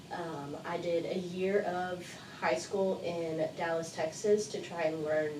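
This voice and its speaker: Audible room echo and noticeable background noise both fill the clip. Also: woman. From Mexico (La Paz), bilingual with American father. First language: Spanish. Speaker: university student life coordinator. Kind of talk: interview.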